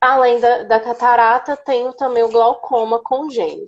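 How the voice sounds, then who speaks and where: A woman speaks in a high pitch. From Brazil, Minas Gerais (Uberlândia). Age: 20s. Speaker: accessibility speaker, former history teacher. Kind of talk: casual interview on live stream. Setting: Instagram live video call.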